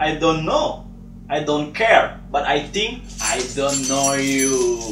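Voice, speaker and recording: A man speaking very slowly, with music in the background and audible room echo. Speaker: actor in a comedy skit. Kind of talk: acted dialogue. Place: home room. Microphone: camera far.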